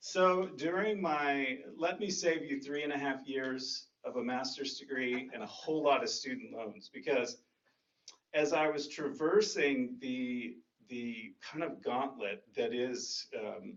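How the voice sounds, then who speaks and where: The speaker has a Texan accent and lively intonation. The pace is very slow. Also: man, fairly high pitch for a man. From North Texas. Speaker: dharma talk speaker and chant leader. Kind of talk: dharma talk. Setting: meditation center with audience. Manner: casual.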